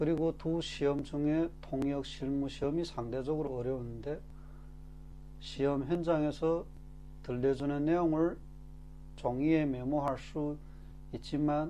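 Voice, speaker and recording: A man's very slow, dark and mellow voice, with long, frequent pauses and a flat, monotone delivery. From Korean-Chinese from China. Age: 40s. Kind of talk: casual talk to camera.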